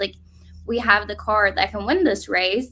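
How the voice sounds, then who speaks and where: A woman with a Norwegian accent speaks in a bright, sharp tone. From Norway. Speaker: drag racer. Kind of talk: interview.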